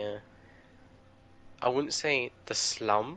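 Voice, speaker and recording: This man speaks with an English accent at a medium pitch. His tone is bright and sharp. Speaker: gamer. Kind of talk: casual chat.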